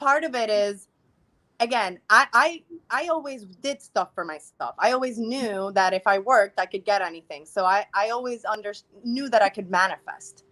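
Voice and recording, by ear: At a moderate pace, a woman speaks with a medium pitch, ordinary pitch variation and a fairly bright tone.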